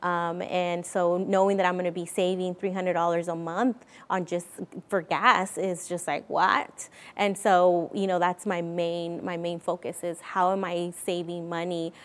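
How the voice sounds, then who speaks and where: Speaking at a fairly slow pace, a woman uses a fairly low pitch and a monotone, flat intonation. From Mexico. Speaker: credit union community advocate. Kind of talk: interview.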